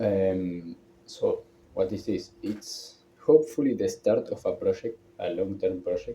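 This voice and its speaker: A man speaks with a strong non-native accent. Noticeable background noise runs behind him. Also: fairly slow pace. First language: not English. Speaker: vlogger. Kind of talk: personal vlog monologue. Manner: halting, hesitant.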